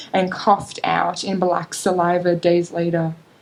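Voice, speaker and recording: Someone with an Australian accent speaks at a fairly slow pace over noticeable background noise. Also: woman. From North Queensland, Australia. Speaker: creative writing student. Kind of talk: short story reading at a literary event.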